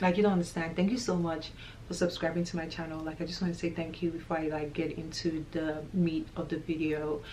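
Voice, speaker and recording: This woman talks at a fairly quick pace in a fairly low pitch. Her intonation is monotone and flat, with audible room echo. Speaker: vlogger. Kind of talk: casual vlog talk to camera. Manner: loud.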